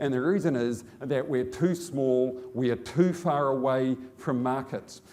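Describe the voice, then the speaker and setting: Speaking fairly slowly with a New Zealand accent, a man uses a medium pitch and ordinary pitch variation. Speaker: business executive. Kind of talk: conference speech. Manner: halting.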